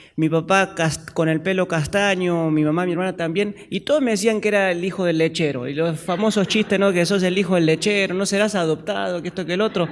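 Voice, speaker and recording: A man with an Argentine accent and a high pitch talks at a fairly quick pace with hardly any pauses. His intonation is fairly even, over noticeable background noise. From Argentina. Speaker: pastor. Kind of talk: sermon. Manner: halting.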